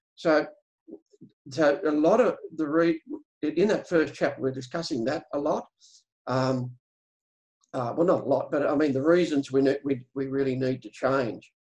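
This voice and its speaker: Against a quiet background, a man talks at a moderate pace with long, frequent pauses. His pitch is fairly high, with ordinary pitch variation. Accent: Australian. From Australia. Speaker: farmer and regenerative agriculture educator; regenerative agriculture educator. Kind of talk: webinar presentation. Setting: video call. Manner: halting. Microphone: video call.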